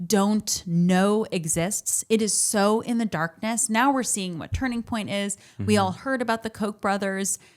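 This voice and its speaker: A woman has an ordinary speaking voice, with medium pitch and ordinary pitch variation. She talks at a moderate pace with hardly any pauses, in a very clean recording with a silent background. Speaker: podcast host. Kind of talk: casual podcast conversation.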